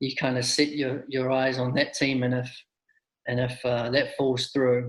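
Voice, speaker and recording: A man speaks in a New Zealand accent with a fairly high pitch. His voice is somewhat breathy. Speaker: soccer coach. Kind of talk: interview.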